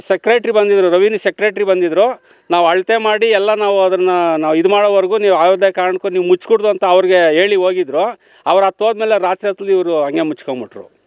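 With fairly even intonation, a man with a high-pitched voice is heard in a dry, close recording with no echo. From Karnataka, Hosakote area near Bengaluru. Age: 60s. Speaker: farmer. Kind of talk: on-the-spot news interview. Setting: outdoors at the village site.

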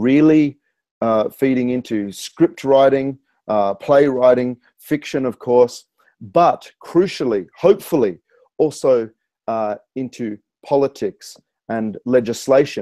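In a dark, mellow tone with an Australian accent, a man speaks at a very slow pace with ordinary pitch variation. The sound is dry with no echo, over a quiet background. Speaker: spoken word poet, author and rapper. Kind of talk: interview answer. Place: home room. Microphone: earbuds.

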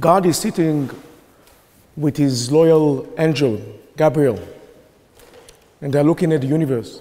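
Audible room echo surrounds a man talking at a fairly slow pace with a fairly high pitch. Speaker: professor. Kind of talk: formal debate speech. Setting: debating chamber with audience.

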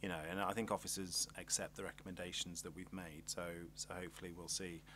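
A man talks at a fast pace in a low-pitched voice. His pitch moves very little.

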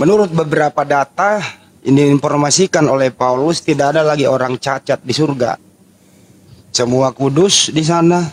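The sound is dry and close with no echo. Pace is moderate, loudness very even, and pitch variation ordinary. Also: man. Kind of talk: heated debate. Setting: online voice room. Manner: confrontational.

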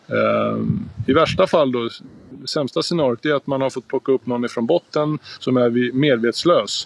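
A man in a dry recording with no echo. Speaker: water safety instructor. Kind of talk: tutorial. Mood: calm, serious. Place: garden. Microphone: phone near.

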